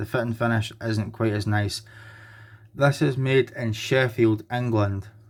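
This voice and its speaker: A man with a Scottish accent speaks at a very slow pace and medium pitch, with fairly even intonation. The recording is very clean, with a silent background. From Scotland. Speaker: knife collector and reviewer. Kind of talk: product review.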